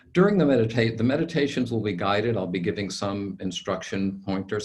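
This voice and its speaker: Here a man talks at a fairly quick pace. His voice is somewhat breathy, with lively intonation. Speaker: lawyer and meditation teacher. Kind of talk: webinar instructions. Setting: webinar video call.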